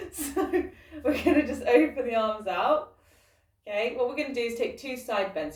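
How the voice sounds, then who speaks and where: A woman's fairly high voice, an ordinary speaking voice, with lively intonation at a moderate pace. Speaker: fitness instructor. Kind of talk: guided workout class. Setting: recording alone, online class.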